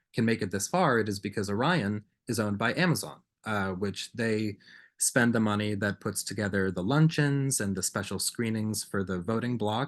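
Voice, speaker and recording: Against a quiet background, a man with an American accent speaks at a fairly low pitch with ordinary pitch variation. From Massachusetts, Danvers. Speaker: film critic. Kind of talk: lecture. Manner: fast.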